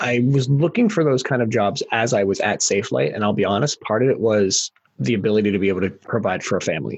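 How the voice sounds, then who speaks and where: A man with medium pitch and vocal fry races along at a very fast pace with lively intonation, hardly any pauses and very even loudness. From rural area, small town. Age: 40s. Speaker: podcast host. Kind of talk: casual interview chat.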